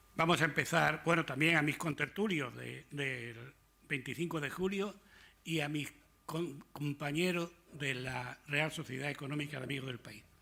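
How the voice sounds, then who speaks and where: At a moderate pace, a man speaks with a bright, sharp tone and vocal fry. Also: fairly high pitch for a man. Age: old. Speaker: retired army officer. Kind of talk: talk to an audience. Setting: lecture hall with audience. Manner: informal, conversational.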